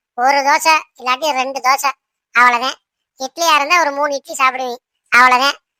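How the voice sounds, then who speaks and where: A loud, cartoonish character voice talks at a fairly slow pace. The sound is dry and close, with no echo. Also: woman. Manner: bossy, scolding.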